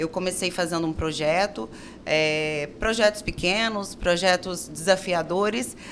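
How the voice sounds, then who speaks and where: This woman's pitch is fairly low and varies in an ordinary way. She speaks at a fairly slow pace. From Brazil, Minas Gerais. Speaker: architect and business owner. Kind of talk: interview.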